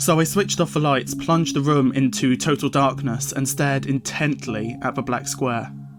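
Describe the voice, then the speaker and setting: Music plays in the background. The speech moves at a fairly slow pace with fairly even intonation. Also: man. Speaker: horror story narrator. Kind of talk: horror story narration. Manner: slight lisp.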